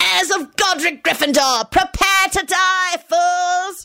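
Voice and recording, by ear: A woman shouts in a put-on character voice, pitched extremely high, with a bright, sharp tone and vocal fry. Her pace is slow and her intonation fairly even.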